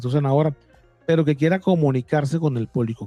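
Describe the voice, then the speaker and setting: Very fast-paced man with a fairly high pitch and ordinary pitch variation, over music in the background. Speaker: interviewer host. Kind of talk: interview questions.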